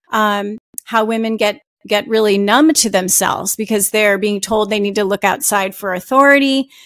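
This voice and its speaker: Using an American accent, a woman talks at a moderate pace and a fairly high pitch. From New Jersey. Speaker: author. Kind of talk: interview. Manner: halting; loud. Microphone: audio is good.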